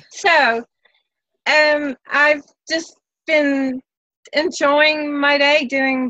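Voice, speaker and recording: The voice is raised and projected, bright and sharp in tone, with a dry, close sound and no echo. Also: woman. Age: 60s. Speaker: live show participant. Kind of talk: casual chat. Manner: halting.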